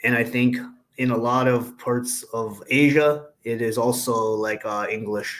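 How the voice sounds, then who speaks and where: The man's pitch sits at a medium level. He talks at a fairly slow pace. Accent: Canadian. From Canada. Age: 30s. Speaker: engineer guest. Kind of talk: casual conversation. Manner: hesitant, many fillers.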